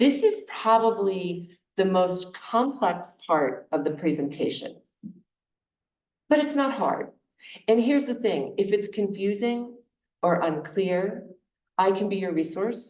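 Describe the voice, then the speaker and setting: Speaking very slowly with long, frequent pauses, a woman at a medium pitch is heard with audible room echo. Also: lively intonation. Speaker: charitable giving advisor. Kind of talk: presentation to a congregation. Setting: meeting room with audience, also on Zoom.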